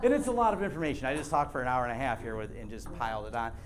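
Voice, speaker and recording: A man speaks, and audible room echo can be heard around his voice. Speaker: tech presenter. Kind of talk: lecture. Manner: fast.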